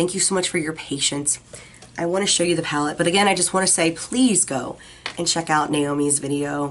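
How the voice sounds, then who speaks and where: A woman talks very fast at a fairly low pitch, with ordinary pitch variation and light background noise. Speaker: beauty vlogger. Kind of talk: product review video. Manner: friendly, chatty. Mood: warm, enthusiastic.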